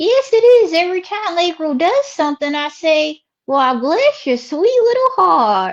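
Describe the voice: Doing a put-on character voice in a Southern US accent, a woman speaks fairly slowly at an extremely high pitch with big swings in pitch.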